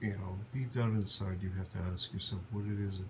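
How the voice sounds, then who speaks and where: Somewhat breathy, a man talks at a moderate pace in a fairly low pitch with fairly even intonation. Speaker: vlogger. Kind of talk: personal vlog monologue. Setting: lying on the floor at home. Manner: halting.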